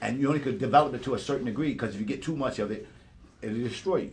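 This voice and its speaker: A somewhat breathy man at a medium pitch talks at a very fast pace with ordinary pitch variation, and audible room echo surrounds his voice. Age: 60s. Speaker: hip-hop elder. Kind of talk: casual chat. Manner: animated.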